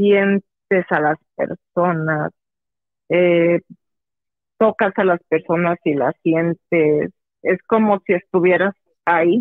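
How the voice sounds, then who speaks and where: A woman's fairly low voice at a very slow pace, with fairly even intonation. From Mexico. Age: 30s. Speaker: psychologist. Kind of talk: phone-in interview.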